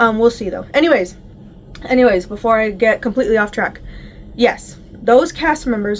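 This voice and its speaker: A woman's fairly high voice moves at a moderate pace with ordinary pitch variation, and noticeable background noise runs underneath. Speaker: YouTuber reviewing a TV series. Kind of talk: casual vlog review. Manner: animated.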